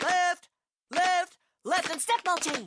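The put-on character voice sits at an extremely high pitch. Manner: barking, commanding.

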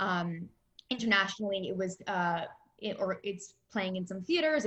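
A woman talks at a fairly quick pace and medium pitch. Hers is an ordinary speaking voice. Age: 20s. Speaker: film executive. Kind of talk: interview.

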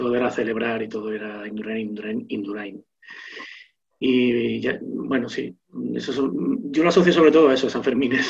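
A man's ordinary speaking voice, medium pitch, ordinary pitch variation and a moderate pace. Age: 40s. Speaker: social media personality. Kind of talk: casual chat.

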